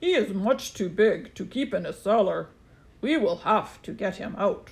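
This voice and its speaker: A put-on character voice, female-sounding and raspy, comes in at a fairly high pitch and a moderate pace. The recording is very clean, with a silent background. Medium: read story. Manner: brisk, authoritative.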